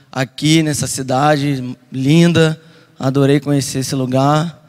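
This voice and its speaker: A man speaks with a Carioca accent. His fairly high voice has monotone, flat intonation. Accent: carioca, hissing 's'. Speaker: missionary preacher. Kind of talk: sermon. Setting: church service.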